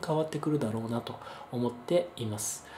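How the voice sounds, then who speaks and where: Noticeable noise sits in the background as a man speaks fairly quickly. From Japan, Kyushu (Kagoshima). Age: 30s. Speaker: educator and investor giving talks. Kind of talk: monologue talk to camera. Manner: frequent filler hesitations.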